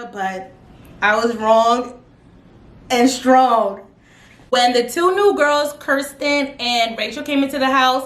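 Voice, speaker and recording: A woman speaks loudly at a high pitch and a very slow pace, leaving long, frequent pauses, with audible room echo around her. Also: ordinary pitch variation. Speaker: youtuber reviewing reality TV. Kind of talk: casual vlog recap. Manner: animated, dramatic.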